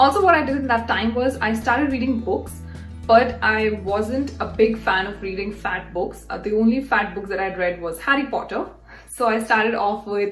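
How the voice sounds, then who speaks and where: Music plays in the background as a woman talks at a moderate pace. Her voice is fairly high, with ordinary pitch variation. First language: not English. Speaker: YouTuber, career and English-learning advice. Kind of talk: casual talk to camera.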